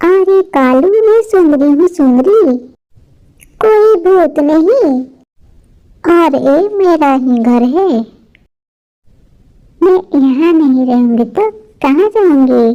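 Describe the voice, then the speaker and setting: In a cartoonish character voice, the speaker goes at a very slow pace with long, frequent pauses. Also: woman, extremely high pitch for a woman. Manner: sharp, scolding.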